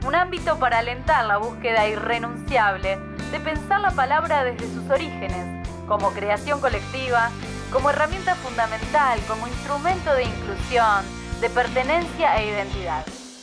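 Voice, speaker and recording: Music in the background beneath a woman's moderate-paced speech. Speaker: voiceover announcer. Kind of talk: institutional narration welcoming listeners to an event.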